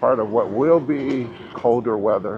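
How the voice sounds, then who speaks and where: Pitch shifts in an ordinary way. The voice is a man's. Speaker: commuter vlogger. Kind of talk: casual vlog chat. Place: street. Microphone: camera far.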